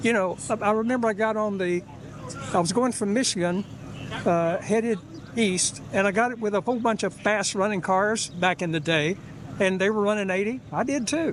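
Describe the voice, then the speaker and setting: Amid noticeable background noise, a man with a high pitch talks at a moderate pace with ordinary pitch variation. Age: 80s+. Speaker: classic car owner. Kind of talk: casual interview.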